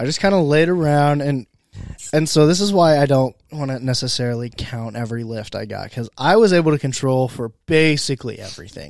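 In a very clean recording with a silent background, a man with an American accent speaks at a fairly quick pace, his fairly high pitch showing ordinary variation. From Indiana, US Midwest. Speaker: podcast host. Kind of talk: casual chat. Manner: loud.

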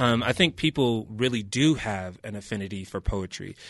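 This man has an American accent and a medium pitch. He talks at a moderate pace with ordinary pitch variation against a quiet background. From upstate New York, Rochester. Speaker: arts nonprofit founder. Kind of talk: interview. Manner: halting, many fillers.

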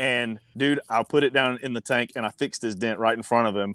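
In an American accent, an unremarkable speaking voice moves at a moderate pace with ordinary pitch variation. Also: man. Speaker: guest, motorcycle dent repair technician. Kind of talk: casual chat.

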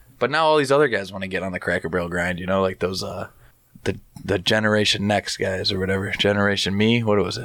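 Words come at a very fast pace, and the pitch variation is ordinary. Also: man, fairly low pitch for a man. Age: 20s. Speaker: professional wrestler. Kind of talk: casual chat. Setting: home studio.

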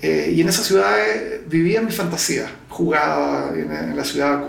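A man's voice comes through with audible room echo and clear background noise. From Chile. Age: 60s. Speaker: zoo founder and veterinarian. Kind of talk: interview.

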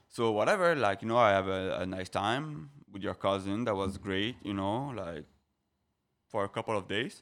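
Speaking with a French accent, a man uses a fairly low pitch and ordinary pitch variation at a moderate pace, on a very clean recording with a silent background. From France (Paris, French Riviera). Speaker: guest on a podcast. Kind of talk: casual chat.

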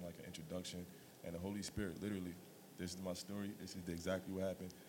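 A man with an American accent has a very deep, low pitch and monotone, flat intonation. He talks at a very fast pace. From Staten Island, New York. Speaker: church member, former college basketball player. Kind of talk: casual interview, testimony.

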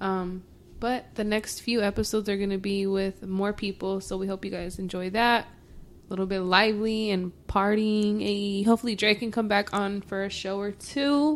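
With an American accent, a woman uses a plain, everyday voice of medium pitch, speaking at a moderate pace with fairly even intonation and hardly any pauses. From Mexican American. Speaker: podcast co-host. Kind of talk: casual chat.

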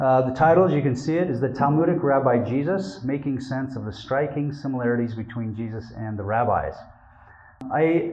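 A man with an American accent and medium pitch talks at a fairly quick pace with ordinary pitch variation, amid noticeable background noise and audible room echo. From Utah, US. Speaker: religion scholar and academic librarian. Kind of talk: lecture.

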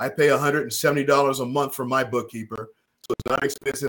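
A man's an unremarkable speaking voice, fairly high in pitch, at a moderate pace. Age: 60s. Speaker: financial advisor. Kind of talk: casual chat.

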